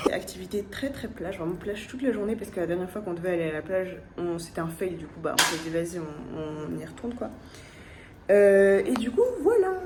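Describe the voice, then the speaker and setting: Through noticeable background noise and audible room echo, a woman speaks at a medium pitch and fairly quick pace, with ordinary pitch variation and big swings in loudness. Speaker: travel vlogger. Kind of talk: casual vlog narration. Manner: halting, stammering.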